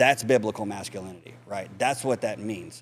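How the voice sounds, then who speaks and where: A man with a Texas accent in a very clean recording with a silent background. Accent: Texas drawl. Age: 40s. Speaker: mentor and spinal cord injury survivor. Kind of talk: podcast interview.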